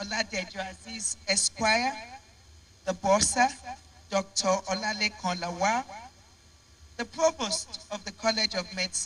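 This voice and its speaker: Over noticeable background noise, a woman with a medium pitch speaks at a fairly slow pace, taking long, frequent pauses, with ordinary pitch variation. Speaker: professor giving opening speech. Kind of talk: formal opening speech. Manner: formal.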